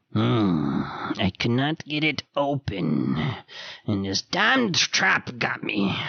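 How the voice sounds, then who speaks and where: Raspy and fairly low in pitch, a man uses a put-on character voice. He speaks at a very slow pace. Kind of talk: archaic formal speech. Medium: actual play. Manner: polite, old-fashioned.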